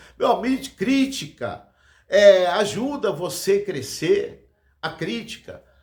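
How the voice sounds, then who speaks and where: Lively intonation marks this man's high-pitched voice. He talks at a very slow pace. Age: 60s. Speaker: evangelist preacher. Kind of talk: sermon. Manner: halting.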